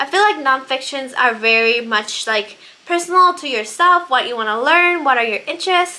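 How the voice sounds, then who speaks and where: A woman projects a raised, high-pitched voice with lively intonation at a moderate pace. Noticeable background noise is present. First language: Spanish. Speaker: book vlogger. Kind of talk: casual monologue about books.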